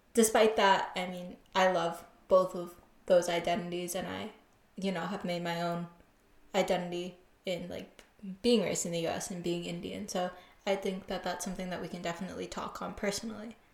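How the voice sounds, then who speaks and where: A woman speaks with an American accent at a medium pitch and a fairly quick pace. Her intonation is monotone and flat, while her loudness swings widely. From US. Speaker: podcast host. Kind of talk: casual chat, podcast intro.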